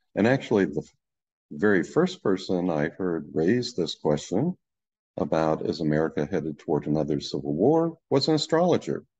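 A man's very deep, low voice at a moderate pace. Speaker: presenter. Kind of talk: lecture. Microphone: webcam.

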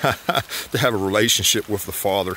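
A man's fairly low, monotone, flat voice in a dry sound with no echo, over light background noise. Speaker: preacher vlogger. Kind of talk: casual devotional vlog talk. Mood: warm, earnest, encouraging. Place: forest. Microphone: phone near.

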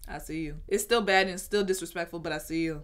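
Clear music plays in the background as a woman talks at a very fast pace. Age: 20s. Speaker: YouTuber. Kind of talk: casual reaction commentary to camera. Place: home room.

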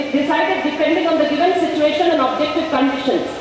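In a strong room echo with light background noise, a woman speaks very fast at an extremely high pitch with monotone, flat intonation. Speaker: rally speaker reading resolution. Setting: outdoor public rally. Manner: formal. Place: stage. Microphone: podium.

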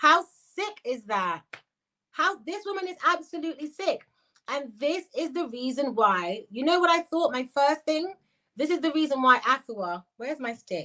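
A woman with a high pitch raises and projects her voice, her tone animated, bright and sharp. Her pitch swings very widely. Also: moderate pace, quiet background. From Jamaican British. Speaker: YouTuber, commentary livestreamer. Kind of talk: livestream commentary reacting to chat. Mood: indignant, accusing.

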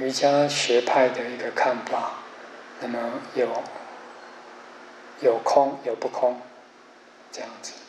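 Amid light background noise and audible room echo, a man speaks at a very slow pace with monotone, flat intonation. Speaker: Buddhist teacher giving a lecture. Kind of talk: lecture. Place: classroom.

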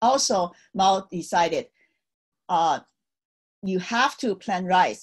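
Very slow speech from a woman against a quiet background. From China, Tianjin; China. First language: Chinese. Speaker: Cultural Revolution survivor, speaker. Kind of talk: virtual talk, personal history. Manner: hesitant, many fillers. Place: home room. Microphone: webcam.

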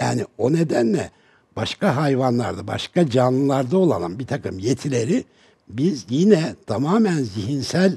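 A man's somewhat breathy, dark, mellow voice with lively intonation at a moderate pace, over a quiet background. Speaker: advertising executive; talk show guest. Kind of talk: TV panel discussion. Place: studio. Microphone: headset.

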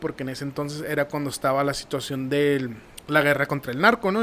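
A man with a northern Mexican accent and a fairly high pitch, over light background noise. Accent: northern Mexican Spanish (Sonora). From Nogales, Sonora, Mexico; Sonora, Mexico. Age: 30s. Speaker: marketing professional; podcast guest. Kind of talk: casual interview. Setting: studio. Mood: calm, reflective storytelling. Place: studio. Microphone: studio mic.

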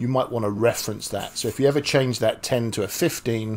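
Speaking at a fairly quick pace, a man shows ordinary pitch variation. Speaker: programming instructor. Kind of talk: tutorial. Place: home room.

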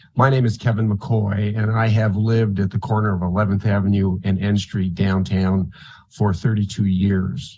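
A man speaks at a moderate pace and fairly low pitch in a flat monotone, his dark, mellow voice somewhat breathy, with very even loudness. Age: 70s. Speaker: public commenter. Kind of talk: public testimony.

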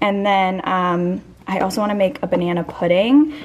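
A woman keeps a moderate pace while noticeable background noise goes on. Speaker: vlogger. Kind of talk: casual vlog chat. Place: kitchen. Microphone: phone near.

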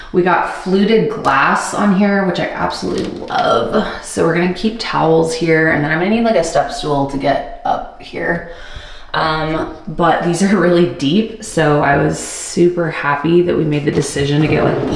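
Moderate pace, light background noise and audible room echo. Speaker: home vlogger. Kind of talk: casual vlog chat. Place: bathroom. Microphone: phone near.

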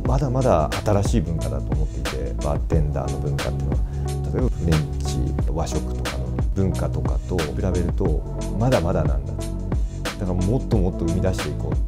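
A man talks at a fairly quick pace. Loud music plays in the background. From Fukuoka, Japan. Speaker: bartender. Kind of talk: interview answer. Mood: calm, warm, smiling. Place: bar.

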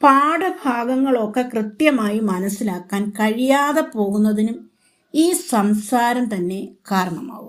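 Here a woman speaks in an unremarkable speaking voice at a fairly high pitch. Her intonation is lively. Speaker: retired teacher. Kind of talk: motivational talk.

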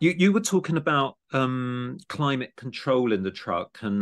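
A man in a southeast English accent at a medium pitch against a quiet background. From Kent, England (Gravesend). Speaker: podcast host and art education program director. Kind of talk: casual interview chat.

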